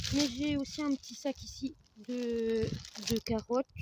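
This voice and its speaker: A soft-spoken woman with a high pitch, fairly even intonation, and a dry, close sound with no echo. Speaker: horse owner vlogger. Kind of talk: casual vlog while doing stable chores. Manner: hesitant, many fillers. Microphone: no microphone.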